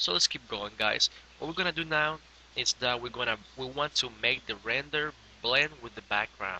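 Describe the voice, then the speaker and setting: A man's medium-pitched voice with a non-native accent, ordinary pitch variation and a moderate pace. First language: not English. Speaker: graphic design tutorial maker. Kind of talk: software tutorial. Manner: casual, hesitant with fillers.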